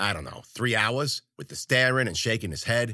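An animated, medium-pitched male voice with vocal fry and a bright, sharp tone at a fairly quick pace, on a very clean recording with a silent background. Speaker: author and fiction podcaster. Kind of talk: casual intro, then dramatic first-person narration of a horror story. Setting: home studio. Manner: animated, vivid character-voiced storytelling, gritty and colloquial; casual, chatty host.

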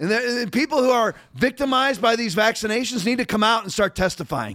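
At a moderate pace, a man speaks with a high pitch and a fairly bright tone.

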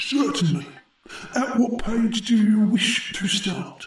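A put-on character voice, fairly high in pitch, with slight echo. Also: fairly slow pace. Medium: read story. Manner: polite, kindly.

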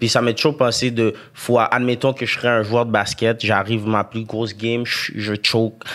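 A man with a Quebec accent speaks at a moderate pace and medium pitch, his intonation monotone and flat, with hardly any pauses. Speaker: rapper. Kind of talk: casual chat.

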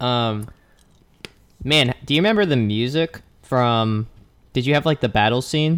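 A man's medium-pitched voice at a fairly slow pace, with ordinary pitch variation, long and frequent pauses, and a dry, close sound without echo. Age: 20s. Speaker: podcast co-host, healthcare worker.

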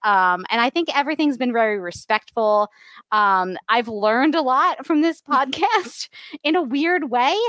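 Speaking at a fairly slow pace, a woman with a high, bright, sharp voice makes very wide pitch swings at very even loudness, in a dry, close sound with no echo. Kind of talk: casual chat.

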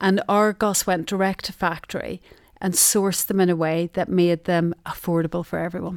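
In a very clean recording with a silent background and a dry, close sound with no echo, a woman with a Derry accent speaks at a moderate pace and a fairly low pitch in a flat monotone. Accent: Northern Irish (Derry). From Northern Ireland. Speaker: retail sourcing office manager. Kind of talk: casual interview chat. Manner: warm, friendly, humorous.

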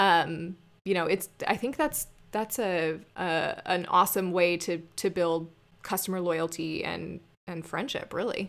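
This woman has an American accent and a fairly low pitch. She talks at a fairly slow pace with ordinary pitch variation. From US Southwest, Arizona (Scottsdale). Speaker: online boutique owner. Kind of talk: casual interview. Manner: halting, many fillers and repeated words.

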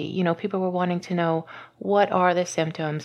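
Against a quiet background, a normal speaking voice with an American accent talks at a fairly quick pace. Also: woman. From US South, Louisiana. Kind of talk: interview.

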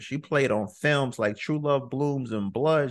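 Over a quiet background, a man talks at a medium pitch and a moderate pace. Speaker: podcast host. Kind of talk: interview. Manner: casual, enthusiastic.

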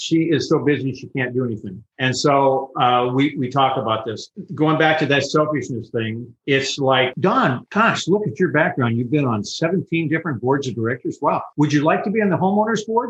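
With an American accent, a man speaks at a moderate pace and a fairly high pitch, his voice somewhat breathy and his intonation lively. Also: hardly any pauses. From Southern California. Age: 70s. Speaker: retiree. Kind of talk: interview. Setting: video call.

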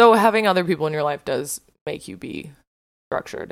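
Fairly quick, ordinary-varied speech from a woman with vocal fry on a very clean recording with a silent background. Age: 20s. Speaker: solo podcast host. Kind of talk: casual solo chat. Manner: casual, frequent fillers like 'like'.

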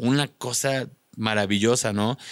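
A man speaks with a Mexican accent at a fairly low pitch. The recording is very clean, with a silent background. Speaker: content creator and rock musician. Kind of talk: casual chat.

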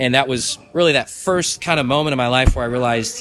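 With an American accent, a man speaks in lively intonation over noticeable background noise. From Michigan. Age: 20s. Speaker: sports league organizer. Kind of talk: casual interview.

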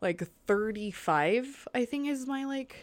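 A woman speaks with an American accent. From California and Florida. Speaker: podcast guest. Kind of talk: casual chat. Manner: casual, animated.

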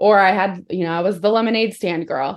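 A woman with an American accent and a normal speaking voice, medium in pitch, with ordinary pitch variation, against a quiet background. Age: 30s. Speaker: business coach. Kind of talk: casual chat.

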